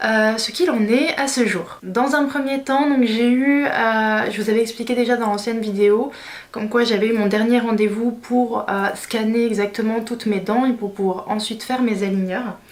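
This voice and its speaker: A woman talks at a moderate pace in a fairly high pitch, with audible room echo around her. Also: fairly even intonation. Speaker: beauty/lifestyle vlogger. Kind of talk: vlog tutorial. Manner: hesitant, many fillers.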